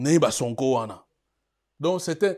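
A man's fairly high voice, very slow, with very wide pitch swings against a quiet background. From DR Congo. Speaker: political commentary web TV host. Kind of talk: news commentary show. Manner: hesitant with many fillers. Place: studio.

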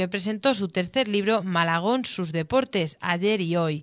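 This woman has an unremarkable speaking voice at a medium pitch with ordinary variation. The background is quiet. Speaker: local news reporter. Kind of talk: scripted news narration recounting the festival event. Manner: formal, even, measured reporting pace.

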